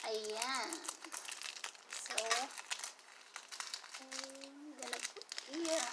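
Loud noise runs behind the recording. Through it, a woman talks very slowly. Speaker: hobby vlogger. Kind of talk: casual vlog chat. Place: home room. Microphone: phone near.

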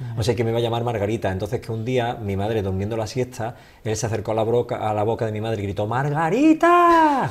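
A man talks at a very fast pace in an Andalusian accent. His intonation stays fairly even. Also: medium pitch for a man, hardly any pauses. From Andalusia, Seville. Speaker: holistic therapist, former teacher. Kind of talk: interview. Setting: studio. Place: studio. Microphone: studio mic.

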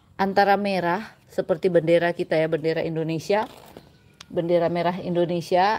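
Her pace fairly slow, a woman speaks with ordinary pitch variation. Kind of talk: tutorial. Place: garden. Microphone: phone near.

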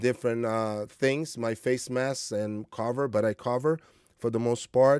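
A man's dark, mellow voice at a moderate pace, dry with no echo, over a quiet background. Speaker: martial arts coach vlogger. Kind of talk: monologue vlog. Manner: informal, motivational, hesitant with fillers. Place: home room.

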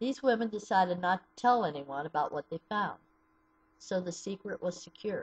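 A somewhat breathy woman with an American accent, at a moderate pace, with big swings in loudness. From US Midwest (southeastern Ohio). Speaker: abuse survivor advocate. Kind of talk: personal testimony. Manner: read from a script. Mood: sombre, serious. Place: home room. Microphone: webcam.

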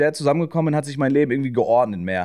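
A man talks at a very fast pace in a dark, mellow tone with lively intonation. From northern Germany, Schleswig-Holstein (Kiel suburb). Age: 20s. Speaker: streamer. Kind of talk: casual chat.

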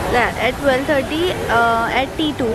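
A woman's voice against crowd noise in the background. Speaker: travel vlogger. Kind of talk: casual vlog chat. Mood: playful, slightly awkward. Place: station. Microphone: phone near.

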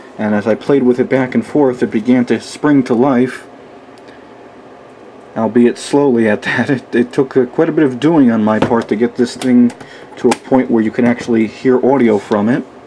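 A man's dark, mellow, medium-pitched voice at a moderate pace, with fairly even intonation and faint background noise

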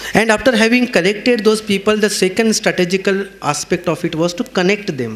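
Pitched high, a man talks at a fairly quick pace with ordinary pitch variation and hardly any pauses. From India. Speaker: psychotherapist and counselor; speaker. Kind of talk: speech. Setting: stage with audience. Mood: warm, earnest. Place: hall. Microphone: podium.

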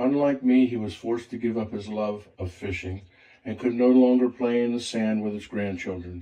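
The man's tone is dark and mellow, his intonation fairly even. He moves at a moderate pace over a quiet background. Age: old. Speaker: retired grandfather, inventor. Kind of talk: personal story narration in a promotional video.

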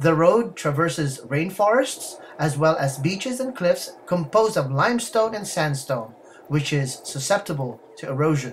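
A man talks at a moderate pace with hardly any pauses and very wide pitch swings. There is light background noise behind him. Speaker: travel vlogger narrator. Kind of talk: documentary narration.

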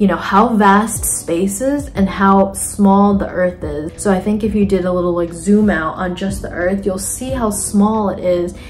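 Faint music sits in the background while a woman talks at a fairly slow pace with fairly even intonation and hardly any pauses. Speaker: artist. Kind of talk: casual talk to camera. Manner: monotone. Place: home room. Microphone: phone near.

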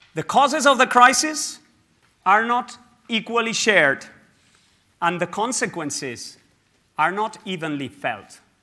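A man speaks in a raised, projected voice, pitched high for a man, with a bright, sharp tone and very wide pitch swings. His pace is fairly slow, broken by long, frequent pauses. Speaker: scientific director. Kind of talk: conference speech. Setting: stage with audience. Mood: earnest, urgent. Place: hall. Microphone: lapel.

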